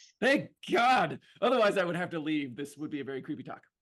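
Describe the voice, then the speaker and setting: A man talks at a very fast pace in an animated tone. His pitch swings very widely. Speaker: behavioral science consultant. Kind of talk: lecture. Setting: video call.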